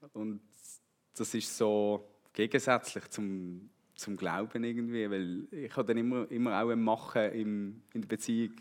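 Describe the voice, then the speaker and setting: A man with a Swiss accent at a medium pitch, fairly slow and fairly even in intonation, on a very clean recording with a silent background. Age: 30s. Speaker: church member, road construction foreman. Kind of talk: testimony.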